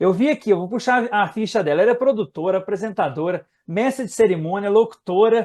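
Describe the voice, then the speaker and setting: This man talks at a fairly quick pace with hardly any pauses, his high pitch moving with ordinary variation. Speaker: web radio interviewer. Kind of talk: interview host talk.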